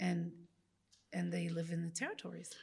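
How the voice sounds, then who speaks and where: A woman's somewhat breathy, fairly low voice. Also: very clean recording, silent background. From Israel, Jerusalem. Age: 40s. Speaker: nonprofit director. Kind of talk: public conversation.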